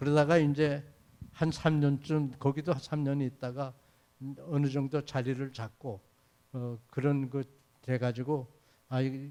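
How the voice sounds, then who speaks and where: At a very slow pace, a man with a fairly high voice speaks with fairly even intonation and long, frequent pauses. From Manchuria (born in Uiju, North Pyongan). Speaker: retired research institute director. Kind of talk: forum interview. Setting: stage with audience. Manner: calm; halting.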